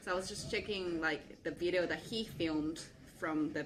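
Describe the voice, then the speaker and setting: Audible room echo surrounds the voice. A woman speaks at a moderate pace in a Japanese accent. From Japan (rural Kochi Prefecture). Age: 20s. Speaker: hip hop dance instructor. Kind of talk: casual interview.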